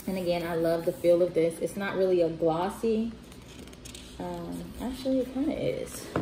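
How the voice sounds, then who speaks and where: Noticeable background noise and audible room echo surround a woman with a fairly low pitch who speaks at a moderate pace with lively intonation. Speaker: bookstore owner reviewing children's books. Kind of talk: casual book review video. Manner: hesitant, many fillers.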